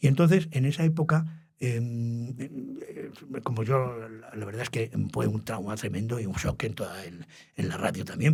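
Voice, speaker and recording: Somewhat breathy at a medium pitch, a man talks at a fairly quick pace with ordinary pitch variation. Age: 80s+. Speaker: retired radio journalist. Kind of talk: interview. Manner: halting.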